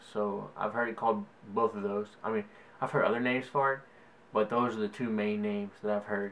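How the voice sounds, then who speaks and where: A man talks at a fairly low pitch with monotone, flat intonation. Noticeable background noise is present. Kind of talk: casual talk to camera.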